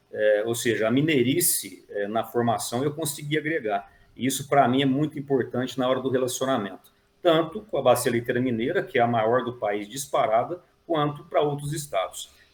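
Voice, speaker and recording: This man has a medium pitch and ordinary pitch variation, sounding somewhat breathy at a moderate pace. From Brazil, near Minas Gerais border. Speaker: dairy industry manager, agronomist. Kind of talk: interview. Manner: hesitant, many fillers.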